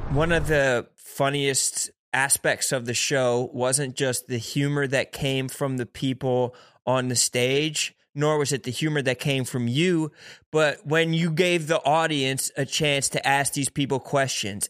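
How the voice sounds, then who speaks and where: A man with an American accent and an ordinary speaking voice, fairly high in pitch with ordinary pitch variation, at a fairly slow pace, in a very clean recording with a silent background. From Philadelphia. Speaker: podcast co-host. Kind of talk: casual chat.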